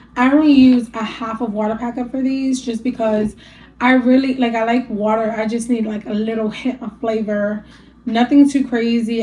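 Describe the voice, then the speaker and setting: A woman speaks at a moderate pace in a somewhat breathy, fairly high voice with a dark, mellow tone and fairly even intonation. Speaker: lifestyle vlogger. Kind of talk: casual sit-down talk to camera. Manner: casual, filler-heavy, with some stumbling.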